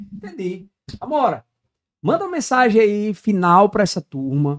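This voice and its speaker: Moderately paced, a man speaks in a high voice with very wide pitch swings. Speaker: podcast host. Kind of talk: casual interview chat.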